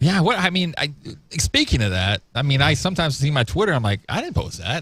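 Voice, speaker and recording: A man talks at a very fast pace with very wide pitch swings, vocal fry, and a fairly high pitch. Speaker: talk show host. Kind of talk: casual chat.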